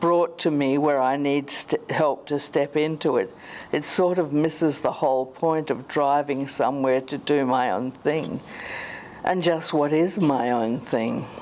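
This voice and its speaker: This woman has an Australian accent. Her pitch is very deep and low. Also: ordinary pitch variation, fairly slow pace. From South Australia. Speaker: conference speaker living with motor neurone disease. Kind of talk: conference talk. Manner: slowed, sometimes slurred speech; halting.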